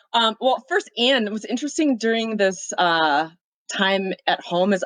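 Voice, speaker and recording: A woman with a strong Minnesotan accent and lively intonation, recorded in a dry, close sound with no echo. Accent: thick Minnesota. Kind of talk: casual chat.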